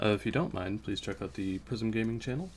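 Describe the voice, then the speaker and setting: The voice is quiet, with lively intonation. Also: man. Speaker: gaming YouTuber. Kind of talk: let's play commentary.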